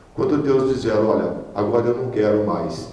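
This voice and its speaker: Amid noticeable background noise and audible room echo, a man speaks at medium pitch and a fairly slow pace. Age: 60s. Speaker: deacon preacher. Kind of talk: sermon. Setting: prayer group meeting.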